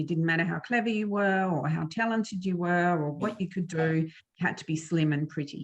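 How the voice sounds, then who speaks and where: Somewhat breathy and fairly low in pitch, a woman with an Australian accent speaks at a fairly quick pace with fairly even intonation. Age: 50s. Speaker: author and former flutist. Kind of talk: interview about eating disorder recovery. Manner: hesitant, many fillers.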